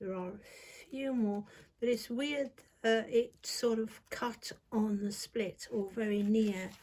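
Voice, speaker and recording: Soft-spoken, a woman talks at a very slow pace and medium pitch. Her intonation stays fairly even. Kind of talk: tarot reading. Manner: casual, hesitant. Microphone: viewers said too quiet.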